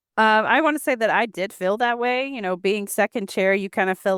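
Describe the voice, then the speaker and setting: A woman speaks at a moderate pace with ordinary pitch variation and an unremarkable speaking voice. The sound is dry and close, with no echo. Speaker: associate financial advisor. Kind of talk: interview podcast.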